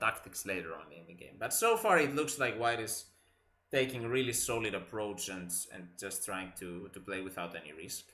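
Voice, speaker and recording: A man with a Greek accent, his tone bright and sharp, at a moderate pace with audible room echo. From Greece. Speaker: chess commentator. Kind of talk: live commentary. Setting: live stream.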